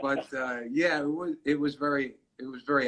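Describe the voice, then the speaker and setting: Bright and sharp in tone, a man's fairly high voice comes with a New York accent. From New York City, the Bronx. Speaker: comedian and radio personality. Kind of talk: interview. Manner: halting.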